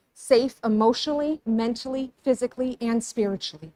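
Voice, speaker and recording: Dry and close with no echo, a woman's fairly high voice shows ordinary pitch variation. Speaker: public commenter at school board meeting. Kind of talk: public comment speech. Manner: reading prepared statement.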